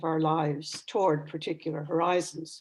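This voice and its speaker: Speaking with a Newfoundland accent, a woman uses a fairly low pitch at a moderate pace. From Newfoundland, Canada. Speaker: retired professor of religion and ecology. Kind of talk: lecture. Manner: formal.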